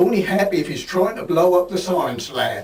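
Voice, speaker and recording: With a Norfolk accent, a man talks at a moderate pace in a high pitch. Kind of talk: reading old school reports aloud.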